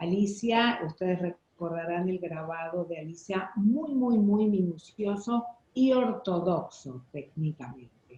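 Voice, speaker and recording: Speaking very slowly, the woman uses lively intonation. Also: medium pitch for a woman, hardly any pauses. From Buenos Aires, Argentina. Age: 60s. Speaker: printmaking artist. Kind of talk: interview.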